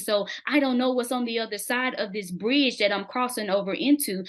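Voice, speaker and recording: A woman with an American accent and a fairly high pitch talks at a moderate pace with ordinary pitch variation. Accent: country dialect. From US South, Mississippi. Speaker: interview guest sharing testimony. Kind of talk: testimony in interview. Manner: can be loud.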